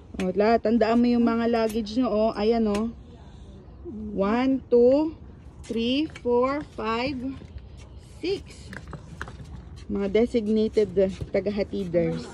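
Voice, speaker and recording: A woman speaks very slowly with a fairly high pitch and ordinary variation, leaving long, frequent pauses. Noticeable background noise is present. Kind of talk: casual talk while filming family.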